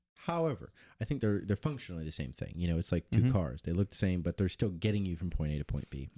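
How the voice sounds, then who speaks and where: A man with an American accent and a very deep, low, dark, mellow voice, talking very fast with lively intonation in a very clean recording with a silent background. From US Midwest, Monmouth, Illinois. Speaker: podcast co-host, musician. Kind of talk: casual chat.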